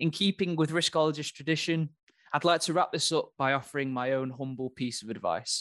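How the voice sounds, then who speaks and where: A man talks fairly quickly in a plain, everyday voice, fairly high in pitch. The sound is dry and close with no echo, and the background is quiet. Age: 20s. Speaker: podcast host. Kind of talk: solo monologue.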